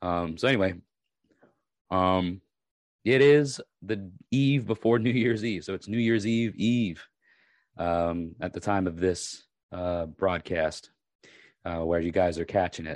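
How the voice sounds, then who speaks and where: A man speaks with a raspy, very deep voice, his pitch varying in an ordinary way. He talks at a fairly slow pace with long, frequent pauses against a quiet background. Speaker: podcast host and YouTuber. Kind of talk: casual monologue. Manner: hesitant, many fillers.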